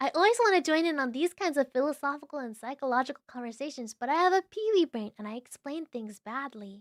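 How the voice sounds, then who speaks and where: Soft-spoken and high-pitched, a woman speaks with very wide swings in pitch, heard dry and close with no echo on a very clean recording against a silent background. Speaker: vtuber streamer. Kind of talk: casual livestream chat. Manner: slow.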